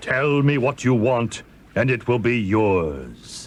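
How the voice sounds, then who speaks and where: A man uses a put-on character voice at a medium pitch with a calm tone. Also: fairly slow pace. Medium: read story. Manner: calm, commanding.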